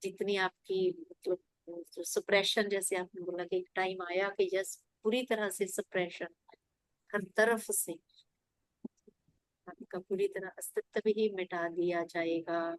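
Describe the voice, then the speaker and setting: A woman at medium pitch speaks with long, frequent pauses, the sound dry and close with no echo. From rural India. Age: 50s. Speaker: meditation class participant. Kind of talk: sharing personal meditation experience.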